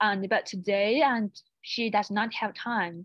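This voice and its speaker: Over a quiet background, a woman with a fairly high voice talks at a fairly slow pace. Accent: Chinese. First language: Chinese. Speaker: university international office presenter. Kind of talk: online seminar presentation. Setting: online webinar. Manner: halting, many restarts.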